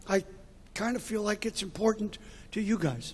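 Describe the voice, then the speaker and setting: A man speaks with a high pitch. He has an American accent. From New York. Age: 70s. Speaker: visiting preacher. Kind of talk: sermon. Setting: church.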